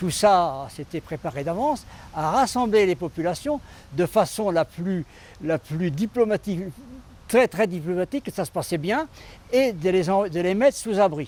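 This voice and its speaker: A man speaks fairly slowly at a high pitch, with lively intonation. His speech has long, frequent pauses. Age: 70s. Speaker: retired gendarme. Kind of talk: testimony. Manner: halting, with frequent repetitions.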